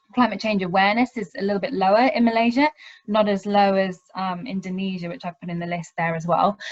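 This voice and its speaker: Somewhat breathy and dry, with a close sound and no echo, the voice moves at a fairly quick pace in a British accent with ordinary pitch variation. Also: woman. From UK. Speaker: university lecturer. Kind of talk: webinar presentation. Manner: hesitant, many ums.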